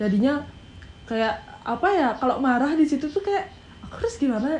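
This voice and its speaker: A woman speaks fairly quickly at a high pitch. Her pitch swings very widely and her loudness shifts a great deal. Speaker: YouTuber with scoliosis, marching band coach. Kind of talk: casual chat. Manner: animated; intense, firm tone.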